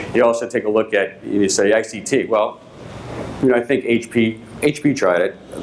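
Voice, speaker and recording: A man speaks at a moderate pace with a Boston accent. Noticeable background noise sits behind him. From Boston, Massachusetts. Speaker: company executive. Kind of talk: conference keynote. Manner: hesitant, many fillers.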